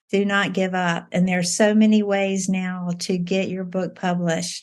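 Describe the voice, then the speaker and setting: A woman's somewhat breathy voice at a medium pitch, with a fairly slow pace and monotone, flat intonation. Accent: Southern US. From US South, Virginia. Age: 60s. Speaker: debut novelist. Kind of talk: interview. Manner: halting, many repetitions and fillers.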